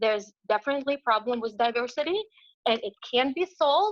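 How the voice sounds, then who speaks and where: Speaking at a moderate pace in a non-native accent, a woman uses a high pitch, a bright, sharp tone and lively intonation, heard as a dry, close sound with no echo against a quiet background. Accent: foreign. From abroad, immigrant to the US. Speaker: parent speaking at public comment. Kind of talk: public comment at online meeting. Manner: halting, many fillers.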